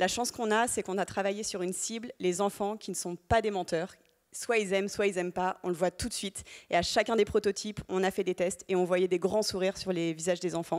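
Over a quiet background, the speech runs at a fairly quick pace with fairly even intonation. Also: woman, medium pitch for a woman. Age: 30s. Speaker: startup founder; panelist. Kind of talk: panel testimony. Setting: stage with audience. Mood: warm, smiling. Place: hall. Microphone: handheld.

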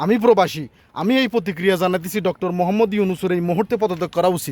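A man's animated, high-pitched voice with ordinary pitch variation, dry and close with no echo. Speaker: YouTube commentator. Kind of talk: opinion monologue.

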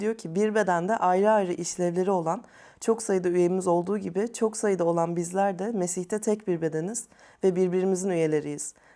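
Her voice dark and mellow in tone, a woman speaks at a medium pitch with fairly even intonation. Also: very clean recording, silent background. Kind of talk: panel discussion.

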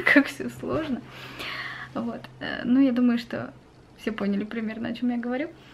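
At a moderate pace, a woman speaks against light background noise. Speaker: vlogger. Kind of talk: casual vlog chat. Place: home room. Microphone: webcam.

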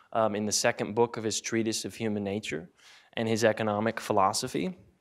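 The background stays quiet while a man talks. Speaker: conference presenter. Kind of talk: academic talk. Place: classroom. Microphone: handheld.

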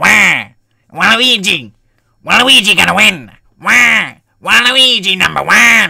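Using a put-on character voice pitched high, a man speaks at a fairly slow pace with long, frequent pauses. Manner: loud, exaggerated.

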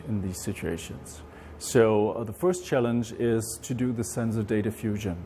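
A man talks at a moderate pace as light background noise runs beneath him. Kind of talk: interview answer. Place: garage. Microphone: lapel.

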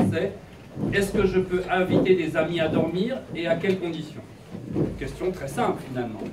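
A man talks at a moderate pace while loud background noise plays. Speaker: presenter. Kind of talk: lecture. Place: classroom. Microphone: camera far.

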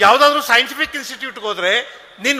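A man raises and projects his voice at an extremely high pitch. Noticeable background noise is present. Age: 60s. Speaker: public speaker. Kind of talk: speech. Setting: stage with audience.

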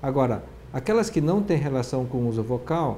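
A man talks in a dark, mellow tone. There is light background noise. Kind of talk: interview answer. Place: office.

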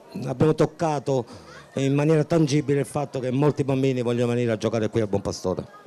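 A man's voice with ordinary variation in pitch. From Sicily. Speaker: youth football technical director. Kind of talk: interview. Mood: proud, hopeful. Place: stadium. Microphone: handheld.

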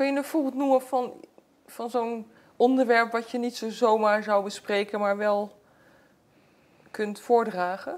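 Pausing often and at length, a woman speaks at a fairly slow pace with a fairly high pitch and fairly even intonation. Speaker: TV interviewer. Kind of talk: interview question. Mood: warm, reflective, curious. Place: home room. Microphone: lapel.

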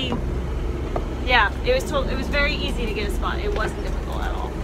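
The speech moves at a fairly quick pace. Loud background noise runs behind it. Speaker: RV traveler vlogger. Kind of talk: casual vlog chat. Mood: excited, happy. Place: waterside. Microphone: phone near.

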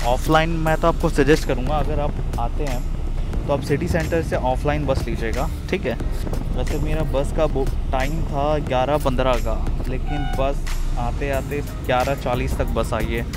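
A man talks at a fairly slow pace in a dry space with no echo. Music plays clearly behind him. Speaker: travel vlogger. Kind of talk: casual vlog chat. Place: bus. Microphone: earbuds.

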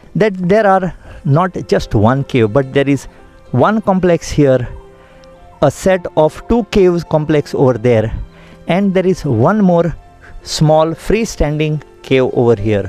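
Over faint background music, a man talks at a fairly slow pace with long, frequent pauses, the sound dry with no echo. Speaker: TV presenter. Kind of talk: travel show commentary. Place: open country. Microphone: handheld.

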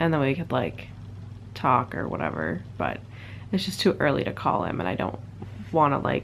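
A woman with a very deep, low pitch and a weary tone swings her pitch very widely, with vocal fry and light background noise. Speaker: vlogger. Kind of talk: casual vlog chat. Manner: drowsy, low, weary sick voice. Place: home room. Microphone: phone near.

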